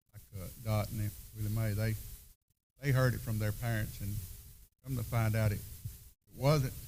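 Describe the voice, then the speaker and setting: A man with a Southern US accent, fairly low pitch and somewhat breathy voice, fairly even intonation at a moderate pace with long, frequent pauses, in audible room echo. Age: 70s. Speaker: seminar panelist. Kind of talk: panel discussion.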